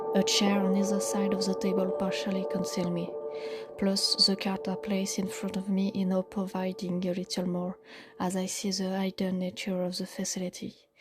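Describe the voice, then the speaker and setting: A woman with a non-native accent at a moderate pace, ordinary pitch variation, and music in the background. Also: medium pitch for a woman. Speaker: audio storyteller. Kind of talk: first-person horror story narration.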